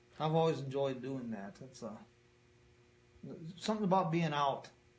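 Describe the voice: Lively male intonation in strong room echo. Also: medium pitch for a man, moderate pace.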